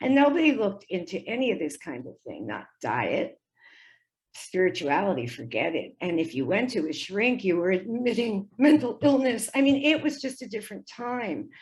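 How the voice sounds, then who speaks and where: Speaking at a moderate pace with an American accent, a woman uses a fairly high pitch with very wide pitch swings and vocal fry. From United States. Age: 70s. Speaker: spiritual author and teacher. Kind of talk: casual interview presentation. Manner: conversational with fillers.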